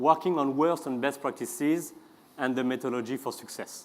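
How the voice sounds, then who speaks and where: A man with a medium-pitched voice, a strong French accent, and ordinary pitch variation. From France. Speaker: customer experience consultant. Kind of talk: conference talk. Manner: hesitant, with many fillers.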